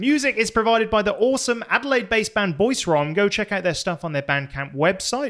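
On a very clean recording with a silent background, a man talks in a high, animated voice with lively intonation at a fairly quick pace. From Plymouth, England. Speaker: podcast host. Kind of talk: casual banter podcast. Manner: animated, joking.

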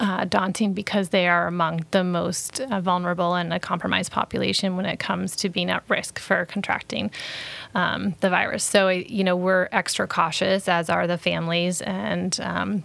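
With an American accent, a woman speaks in a normal speaking voice at a moderate pace, fairly low in pitch and with fairly even intonation. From Maine, US (Brunswick). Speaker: nonprofit chief executive. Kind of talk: interview.

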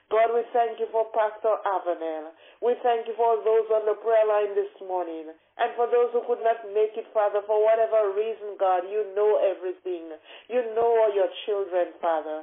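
A woman's fairly high voice, moderate in pace, with ordinary pitch variation. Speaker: prayer leader on a prayer line. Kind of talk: fervent intercessory prayer, rhythmic repetitive thanksgiving. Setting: phone call prayer line. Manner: impassioned, building cadence with repeated 'O oh God' refrains; reverent, pleading devotional tone.

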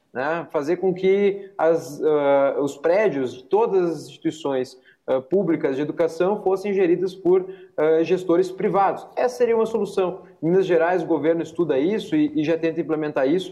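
At a moderate pace, a man speaks with a high pitch and ordinary pitch variation. His tone is dark and mellow. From Rio Grande do Sul, Brazil. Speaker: parliamentary aide and education commentator. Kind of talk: panel debate. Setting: remote video call.

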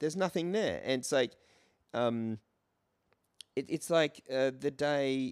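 Lively intonation in an Australian accent, at a fairly slow pace with long, frequent pauses, in a dry, close sound with no echo and a very clean recording with a silent background. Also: man. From Australia, Brisbane. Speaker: comedian and musical performer. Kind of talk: casual chat.

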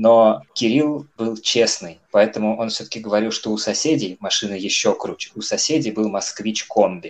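A man's medium-pitched delivery, a plain, everyday voice, with ordinary pitch variation, a moderate pace and hardly any pauses. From Cheboksary, Russia. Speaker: football fan podcast co-host. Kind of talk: casual chat.

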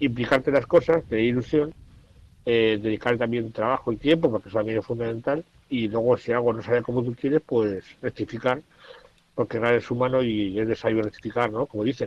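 A man talks at a fairly quick pace with fairly even intonation and a medium pitch. His is a plain, everyday voice. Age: 50s. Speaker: journalist and writer, blind since 18. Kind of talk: radio interview, casual talk.

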